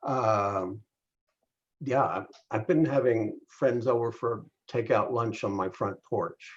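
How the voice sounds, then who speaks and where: Very slow, somewhat breathy speech from a man at medium pitch. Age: 70s. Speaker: interviewer, local film community figure. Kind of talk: casual interview chat.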